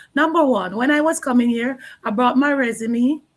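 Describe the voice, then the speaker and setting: A woman with a Jamaican accent speaks at a moderate pace in a fairly high pitch. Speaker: online business owner and early childhood educator. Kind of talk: live stream interview.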